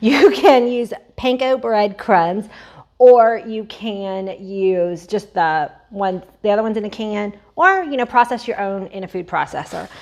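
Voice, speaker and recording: Fairly high in pitch, a woman speaks in an animated tone at a fairly slow pace. Her loudness swings a lot, while her pitch varies in an ordinary way. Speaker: cooking channel host. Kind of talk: cooking tutorial. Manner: casual, animated.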